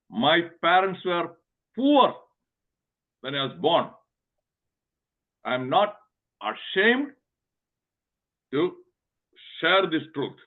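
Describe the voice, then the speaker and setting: Very slow speech in a Kerala accent, with long, frequent pauses and very wide pitch swings. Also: man, high pitch for a man. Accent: Indian (Kerala) English. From Kerala, India. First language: Telugu. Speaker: physician and motivational speaker. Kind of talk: webinar talk. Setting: online webinar. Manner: emphatic, repetitive.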